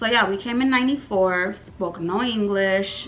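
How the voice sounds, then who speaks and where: A woman's medium-pitched voice with a Californian accent, ordinary pitch variation and moderate pace, amid audible room echo and noticeable background noise. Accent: American English, California. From Armenia, emigrated to US at age 8. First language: Armenian. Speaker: YouTuber. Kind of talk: storytime vlog. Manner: casual, filler-heavy.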